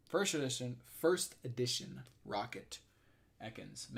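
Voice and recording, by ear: Using a put-on character voice, a man sounds strained and hoarse at a medium pitch, delivering lines at a fairly slow pace.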